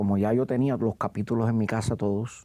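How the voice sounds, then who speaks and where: A man's fairly low, dark and mellow voice at a moderate pace with ordinary pitch variation. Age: 60s. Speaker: actor. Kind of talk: interview. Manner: halting.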